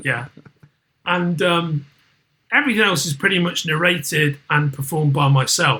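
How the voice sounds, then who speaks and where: A man with a Liverpool accent has a fairly high pitch and a bright, sharp tone, speaking at a moderate pace. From northern England, Merseyside. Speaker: podcast commentator and entertainment executive. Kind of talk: casual chat. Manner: animated.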